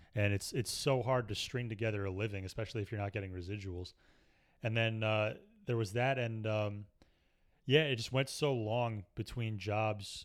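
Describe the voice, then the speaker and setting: A man with a normal speaking voice, a fairly low pitch, fairly even intonation and a moderate pace, in a very clean recording with a silent background. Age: 30s. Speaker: stand-up comedian and comedy writer. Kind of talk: casual chat.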